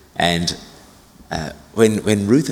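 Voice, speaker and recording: A man speaks over noticeable background noise. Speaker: senior minister. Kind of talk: sermon. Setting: church.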